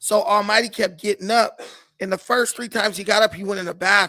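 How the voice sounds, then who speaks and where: Speaking at a fairly quick pace, a man uses a raised, projected voice with high pitch and a bright, sharp, animated tone. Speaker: podcast guest telling his side. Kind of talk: casual storytelling interview.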